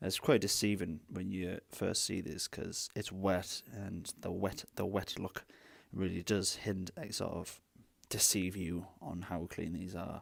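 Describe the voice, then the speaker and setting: In a very clean recording with a silent background, a man speaks at a fairly slow pace with a very deep, low pitch. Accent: British. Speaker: retro console restorer. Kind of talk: tutorial talk to camera. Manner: casual, chatty.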